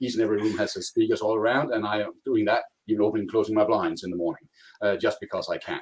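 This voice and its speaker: Speaking in a Danish accent, a man goes at a very fast pace. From Denmark. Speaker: cloud contact center consultant. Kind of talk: technical presentation.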